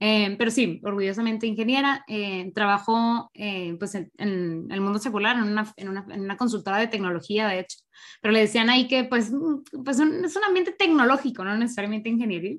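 A woman with an unremarkable speaking voice talks at a fairly quick pace, at a fairly high pitch with ordinary pitch variation. The recording is very clean, with a silent background. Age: 20s. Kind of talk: casual chat.

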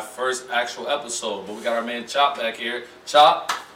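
Amid noticeable background noise, a man with an American accent talks at a fairly quick pace, his medium pitch and intonation fairly even. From Ohio. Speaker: podcast co-host. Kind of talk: casual chat. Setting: studio.

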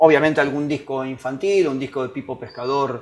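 Speaking at a moderate pace, a man uses a normal speaking voice that sits fairly high in pitch, with fairly even intonation. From Argentina, Buenos Aires. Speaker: musician and synthesizer specialist. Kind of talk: interview.

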